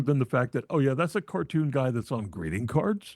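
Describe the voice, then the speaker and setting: Very wide pitch swings and vocal fry mark a man's medium-pitched voice, heard dry and close with no echo in a very clean recording with a silent background. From New England, New Hampshire coast. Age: 60s. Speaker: film podcast host, guest. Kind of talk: casual chat.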